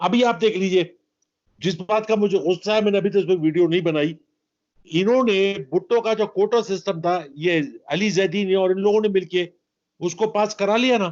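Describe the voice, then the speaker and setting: A man talks at a high pitch with ordinary pitch variation. His loudness stays very even. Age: 70s. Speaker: political commentator. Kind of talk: interview. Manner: animated.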